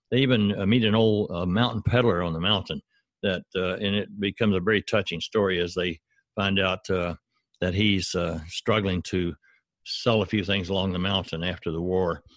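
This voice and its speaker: Speaking with a Southern US accent, a man uses a very deep, low pitch with fairly even intonation at a moderate pace. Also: dry, close sound with no echo. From US South, Arkansas. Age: 70s. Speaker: author and former professor. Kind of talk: interview. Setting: remote call.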